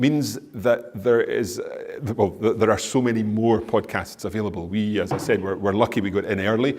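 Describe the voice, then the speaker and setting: A man with a Scottish accent and fairly even intonation, in audible room echo. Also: medium pitch for a man, moderate pace. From Scotland. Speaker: language teacher and podcaster. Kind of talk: conference Q&A answer. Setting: conference stage with audience. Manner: halting, many repeated words. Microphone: echoey room.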